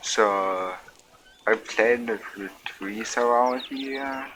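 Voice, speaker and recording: A soft-spoken man talks with fairly even intonation. Noticeable background noise runs behind him. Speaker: gaming streamer. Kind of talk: casual gameplay commentary. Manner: quiet, soft-spoken; slurred, drunk-sounding.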